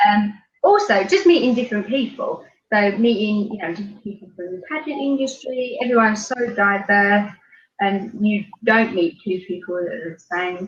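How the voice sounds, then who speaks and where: A woman's fairly high, somewhat breathy voice in a British accent, with ordinary pitch variation and big swings in loudness. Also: moderate pace. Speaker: beauty pageant winner. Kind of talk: interview.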